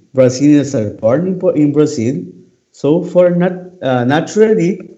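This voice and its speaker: Room echo is audible around a man's fairly high, dark and mellow voice. He speaks at a moderate pace with lively intonation. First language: Portuguese. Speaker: class host. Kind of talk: live language class. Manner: halting.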